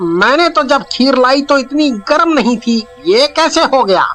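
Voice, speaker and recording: A cartoonish character voice moves at a moderate pace, with faint music in the background. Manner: timid.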